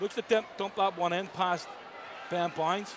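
Crowd noise fills the background as a man speaks, the sound dry with no echo. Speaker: ice hockey commentator. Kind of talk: live ice hockey play-by-play commentary. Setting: arena broadcast. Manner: fast, urgent, rising and falling with the action, clipped play-by-play. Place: stadium.

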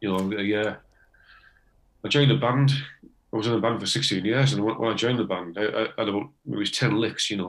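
A man with a Teesside accent at a moderate pace, with long, frequent pauses. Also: medium pitch for a man, ordinary pitch variation. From northeast England, Teesside. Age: 60s. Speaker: retired electrician, amateur harmonica player. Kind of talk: casual interview.

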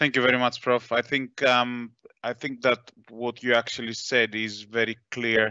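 Dry and close with no echo, a man's bright, sharp voice sits at a medium pitch with little pitch movement. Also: moderate pace.

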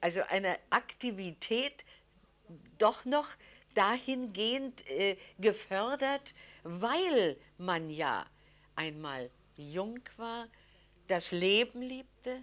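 Pitched fairly high, a woman speaks at a very slow pace with long, frequent pauses and very wide pitch swings. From Berlin. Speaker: resistance fighter; educator. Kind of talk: interview answer.

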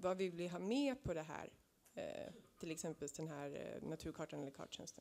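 Her voice fairly low, dark and mellow, a woman talks at a moderate pace with lively intonation. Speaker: audience member asking questions. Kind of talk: audience question. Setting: stage with audience. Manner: halting. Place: hall.

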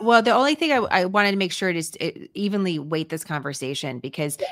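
A woman speaks at a very fast pace, with a dry sound with no echo and a quiet background. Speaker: podcast host. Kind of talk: interview question. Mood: earnest, concerned. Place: home room.

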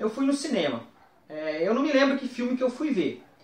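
A man at an extremely high pitch, with audible room echo. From interior of São Paulo state, Brazil (Marília); São Paulo state, Brazil. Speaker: toy collector; guest. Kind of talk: personal reminiscence to camera. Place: home room.

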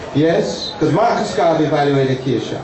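Amid noticeable background noise and audible room echo, a man speaks at a moderate pace with a fairly high pitch. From Jamaica. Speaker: university professor and event organizer. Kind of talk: public speech at civic ceremony. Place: tent.

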